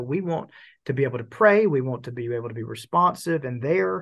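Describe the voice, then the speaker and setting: Against a quiet background, a man with a fairly high pitch talks at a fairly quick pace, somewhat breathy, his pitch swinging very widely. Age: 40s. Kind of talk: interview conversation.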